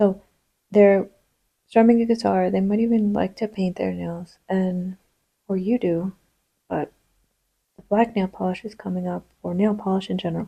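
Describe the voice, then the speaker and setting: A woman speaks quietly at a moderate pace, leaving long, frequent pauses. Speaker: tarot reader. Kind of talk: tarot reading. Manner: casual, with many fillers.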